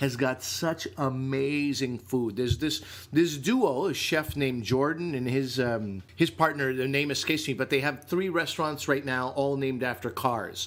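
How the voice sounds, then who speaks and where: A man speaks with a Canadian accent at a fairly high pitch. His tone is animated. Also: ordinary pitch variation, moderate pace. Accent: Canadian, says eh. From Canada. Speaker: comedian and podcast co-host. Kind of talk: casual chat.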